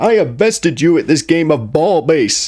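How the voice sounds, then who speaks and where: A put-on character voice from a man, pitched fairly high and delivered at a moderate pace. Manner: boastful, triumphant.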